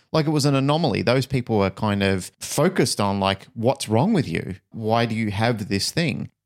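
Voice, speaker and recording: In a plain, everyday voice, a man speaks at medium pitch and a moderate pace with lively intonation and hardly any pauses, the sound dry and close with no echo on a very clean recording with a silent background. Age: 50s. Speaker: podcast co-host. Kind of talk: casual podcast conversation.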